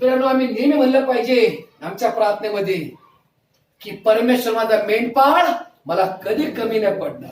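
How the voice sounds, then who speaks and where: The man's voice is extremely high-pitched. His pitch varies in an ordinary way. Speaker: pastor / preacher. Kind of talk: sermon preached to a congregation.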